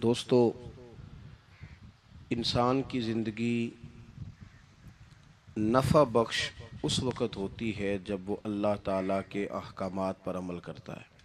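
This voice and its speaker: Big swings in loudness mark this man's fairly low-pitched voice, though his intonation stays fairly even. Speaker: Islamic religious scholar. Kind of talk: religious sermon.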